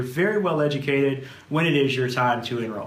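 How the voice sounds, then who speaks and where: Amid noticeable background noise and audible room echo, a man with a South Louisiana accent speaks in a fairly high pitch with ordinary pitch variation. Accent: South Louisiana drawl. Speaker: insurance agency manager. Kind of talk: webinar presentation. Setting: video recording with camera operator.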